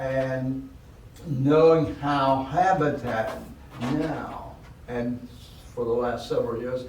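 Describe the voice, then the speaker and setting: Amid noticeable background noise and audible room echo, a man at medium pitch speaks very slowly with fairly even intonation and long, frequent pauses. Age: 80s+. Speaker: charity volunteer and board member. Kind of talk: podcast interview.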